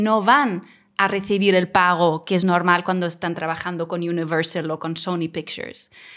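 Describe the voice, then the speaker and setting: In a very clean recording with a silent background, a woman with an ordinary speaking voice talks at a moderate pace and medium pitch. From Mallorca, raised after moving from Germany as a child. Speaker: film festival director and actress. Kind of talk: interview.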